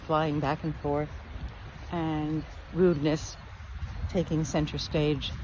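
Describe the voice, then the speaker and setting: With light background noise and a dry sound with no echo, a woman talks at a fairly slow pace in a very deep, low pitch with vocal fry. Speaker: speaker. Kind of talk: casual reflective vlog talk. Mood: calm, reflective, warm. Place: beach. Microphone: phone near.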